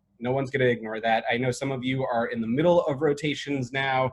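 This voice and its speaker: Speaking with an American accent, a man has a fairly high pitch. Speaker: emergency medicine chief resident. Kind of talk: webinar presentation. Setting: video call. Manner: loud; animated.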